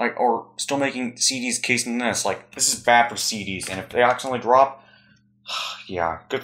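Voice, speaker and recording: Quietly, a man speaks in a bright, sharp tone at a medium pitch and a moderate pace. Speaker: YouTuber. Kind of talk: casual haul video.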